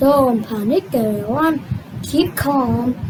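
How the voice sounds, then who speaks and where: In a put-on character voice, a female-sounding speaker with a high pitch talks at a very slow pace over clear background noise. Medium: fan dub. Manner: blustering.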